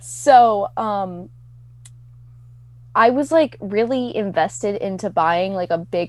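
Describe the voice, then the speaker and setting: A woman with a Midwestern accent at a very slow pace, with long, frequent pauses. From US Midwest. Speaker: podcast guest. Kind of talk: casual chat.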